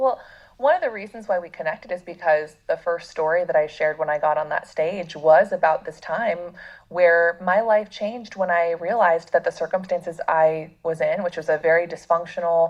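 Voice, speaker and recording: A woman with an American accent and a normal speaking voice, fairly low in pitch, at a moderate pace. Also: ordinary pitch variation. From United States. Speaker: life coach and speaker. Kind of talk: podcast interview.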